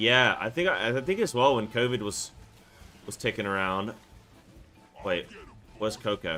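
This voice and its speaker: With music in the background, a man speaks in lively intonation and leaves long, frequent pauses. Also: medium pitch for a man, moderate pace. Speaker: gaming streamer. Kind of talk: live gaming stream chat.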